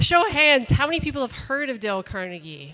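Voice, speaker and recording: A woman's voice over noticeable background noise. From Canada, Calgary Alberta. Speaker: workshop presenter. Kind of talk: workshop presentation.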